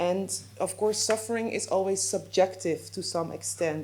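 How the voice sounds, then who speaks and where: A woman with a Dutch accent at a moderate pace, with audible room echo. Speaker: legal adviser. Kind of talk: lecture. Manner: halting, with fillers and self-corrections.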